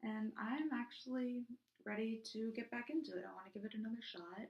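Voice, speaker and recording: Soft-spoken and somewhat breathy, a woman talks at a fairly quick pace. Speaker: YouTuber reviewing PSAs. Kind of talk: casual vlog. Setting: recording in a bathroom at home. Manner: hesitant, many fillers.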